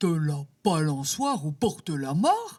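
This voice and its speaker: A put-on character voice sits at a middle pitch and sounds excited. The pace is fairly slow. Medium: read story. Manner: excited, boastful.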